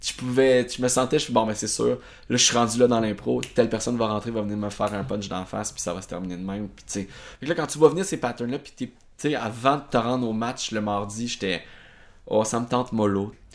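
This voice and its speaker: An unremarkable speaking voice moves at a fairly quick pace with ordinary pitch variation and big swings in loudness on a very clean recording with a silent background. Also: man, medium pitch for a man. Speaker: stage actor. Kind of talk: casual interview.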